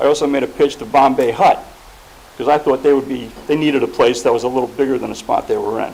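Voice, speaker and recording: A man speaks at a very fast pace with noticeable background noise. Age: 70s. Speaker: property owner and developer speaking at a planning board. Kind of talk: public comment at a municipal meeting.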